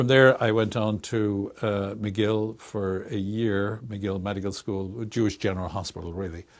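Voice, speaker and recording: A man's fairly low voice in an Irish accent, fairly slow and fairly even in intonation, on a very clean recording with a silent background. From Ireland, Dublin. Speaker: research institute director, psychologist. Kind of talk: interview.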